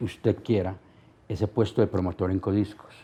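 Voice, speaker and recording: The man's voice has a dark, mellow tone. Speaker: radio host, record promoter and TV presenter. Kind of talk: interview answer. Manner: cheerful, humorous, talkative.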